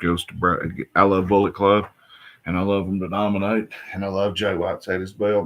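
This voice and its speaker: With an Appalachian accent, a man speaks at a fairly low pitch, his loudness swinging widely. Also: fairly quick pace. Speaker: wrestling vlogger. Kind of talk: casual show review. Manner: animated.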